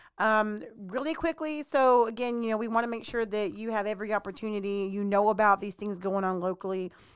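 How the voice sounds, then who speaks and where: In an ordinary speaking voice with an American accent, this speaker talks at a fairly quick pace with ordinary pitch variation on a very clean recording with a silent background. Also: woman, fairly high pitch for a woman. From Texas. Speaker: podcast co-host. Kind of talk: casual chat.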